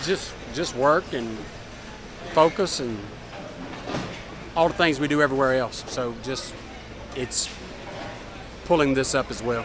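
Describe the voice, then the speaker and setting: Amid noticeable background noise, a man speaks at a fairly slow pace with long, frequent pauses, the sound dry with no echo. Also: ordinary pitch variation. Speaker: NASCAR crew chief. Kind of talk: post-race interview answer. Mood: pleased, candid. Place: garage.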